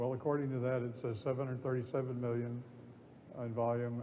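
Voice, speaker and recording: A man at a very fast pace, with audible room echo. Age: 70s. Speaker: real estate broker. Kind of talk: on-stage interview. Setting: conference stage with audience. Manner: halting.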